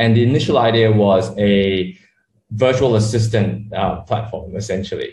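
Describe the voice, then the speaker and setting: Somewhat breathy, a man talks at a moderate pace with fairly low pitch and fairly even intonation. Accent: Australian. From Australia (Sydney), born in Malaysia. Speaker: startup co-founder. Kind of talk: interview.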